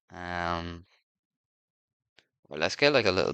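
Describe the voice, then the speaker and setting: A man speaks with an Irish accent and some vocal fry. His tone is bright and sharp, and his pitch swings very widely. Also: quiet background. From Ireland. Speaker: gaming streamer. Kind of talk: casual gameplay commentary. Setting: home sitting room. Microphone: poor audio in sitting room.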